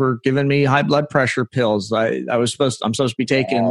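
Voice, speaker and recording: There is an ordinary speaking voice here, belonging to a man with a medium pitch. He keeps his intonation fairly even. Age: 50s. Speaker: podcast host. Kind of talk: interview chat; scripted intro.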